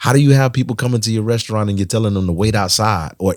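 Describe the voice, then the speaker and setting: On a very clean recording with a silent background, a man speaks with a fairly low pitch, an animated tone and ordinary pitch variation. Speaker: podcast co-host. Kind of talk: casual chat.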